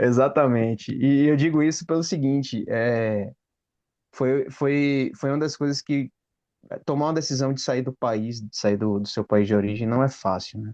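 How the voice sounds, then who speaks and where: A man's medium-pitched voice with a dark, mellow tone, a moderate pace and ordinary pitch variation. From Brazil. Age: 30s. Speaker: engineer. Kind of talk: casual chat. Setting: video call.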